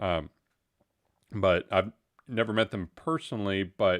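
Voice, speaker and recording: The speaker has a Texan accent and a fairly slow pace, with ordinary pitch variation. The recording is very clean with a silent background, and the sound is dry and close with no echo. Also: man. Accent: Texan American. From Texas. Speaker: live stream host. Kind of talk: casual chat. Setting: live stream. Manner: halting, many fillers.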